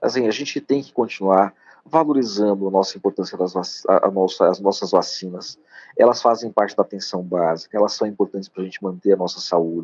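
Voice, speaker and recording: This man has an unremarkable speaking voice with a fairly low pitch and ordinary pitch variation. He talks at a fairly quick pace with big swings in loudness. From Piauí, Brazilian Northeast. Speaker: doctor. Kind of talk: live-stream interview. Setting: live stream.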